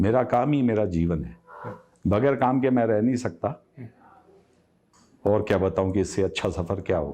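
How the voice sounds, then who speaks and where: Long, frequent pauses mark this man's fairly low voice, which shows ordinary pitch variation. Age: 60s. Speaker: textile business owner. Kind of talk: interview.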